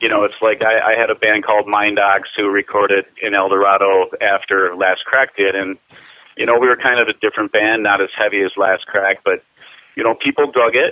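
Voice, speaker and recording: A plain, everyday voice comes from a man with an American accent, speaking at a fairly quick pace and a fairly low pitch. His loudness stays very even and his intonation fairly even. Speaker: metal band vocalist. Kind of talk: interview. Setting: phone call.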